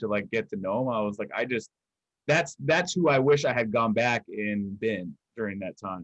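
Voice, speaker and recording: The man's intonation is lively. His pitch sits in the medium range. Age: 20s. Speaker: guest on fundraiser livestream. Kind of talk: casual conversation. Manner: halting, many fillers and repeats.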